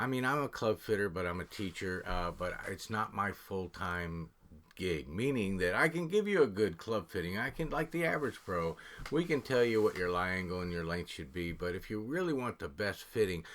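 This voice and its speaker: With lively intonation, a man speaks at a moderate pace in a normal speaking voice that is fairly low in pitch. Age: 60s. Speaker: golf podcast host. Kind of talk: interview.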